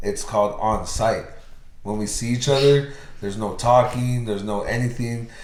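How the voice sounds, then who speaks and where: Speaking at a moderate pace with an American accent, a man has a medium pitch and a somewhat breathy sound, with audible room echo. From US. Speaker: podcast host. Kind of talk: casual chat.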